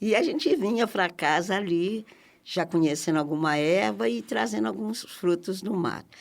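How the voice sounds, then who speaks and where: In a very clean recording with a silent background, a woman speaks at a fairly slow pace with a fairly low pitch, vocal fry and very wide pitch swings. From Brazil, Minas Gerais (Barbacena). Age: 60s. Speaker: community activist. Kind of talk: interview.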